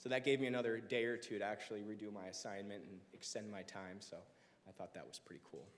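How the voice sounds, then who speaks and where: Speaking at a very fast pace with an American accent, a man uses a fairly low pitch and fairly even intonation, with big swings in loudness. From Bosnia, raised in the US from the early 1990s. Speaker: cybersecurity solutions architect, event speaker. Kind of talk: conference talk. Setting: university event with live audience and livestream. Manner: casual with many fillers.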